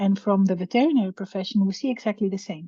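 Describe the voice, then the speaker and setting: A woman speaks at a medium pitch in a Greek accent, her voice somewhat breathy. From Greece. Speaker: veterinary professor, researcher. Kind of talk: webinar lecture. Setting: video call webinar. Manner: hesitant, many fillers.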